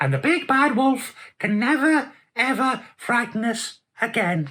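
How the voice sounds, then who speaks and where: A female-sounding, put-on character voice talks at a fairly slow pace and a high pitch. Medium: read story.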